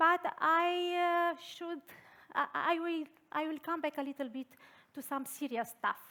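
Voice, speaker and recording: In a Romanian accent, a raised, projected voice with a bright, sharp tone moves at a fairly slow pace with long, frequent pauses and ordinary pitch variation, on a very clean recording with a silent background. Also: woman, extremely high pitch for a woman. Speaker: design thinking consultant and researcher. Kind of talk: conference talk. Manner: halting.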